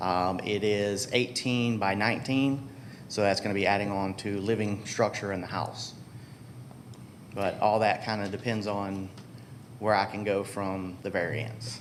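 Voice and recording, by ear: A man talks at a fairly slow pace, his fairly low pitch moving in fairly even intonation.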